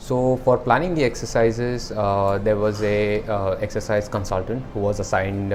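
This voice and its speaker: Music plays in the background, and audible room echo surrounds a man's voice. He has a fairly low pitch and fairly even intonation. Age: 30s. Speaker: weight-loss client. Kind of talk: testimonial. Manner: halting, many fillers.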